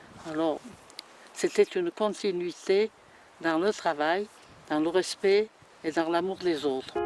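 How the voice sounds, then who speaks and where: Music plays in the background while the speaker talks at a very slow pace with long, frequent pauses. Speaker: local elder interviewee. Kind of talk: documentary interview, reminiscence. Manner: halting.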